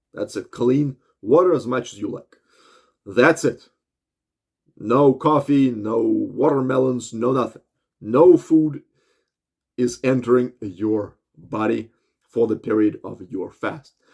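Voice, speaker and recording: Speaking at a very slow pace with long, frequent pauses, a man talks at a medium pitch. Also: ordinary pitch variation. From Russia. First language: Russian. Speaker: health and fitness vlogger. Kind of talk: monologue tutorial. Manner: animated; halting.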